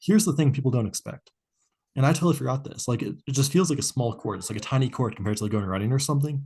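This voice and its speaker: Very fast delivery in a dark, mellow tone, somewhat breathy. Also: man, medium pitch for a man, lively intonation. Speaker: podcast co-host. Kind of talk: casual chat.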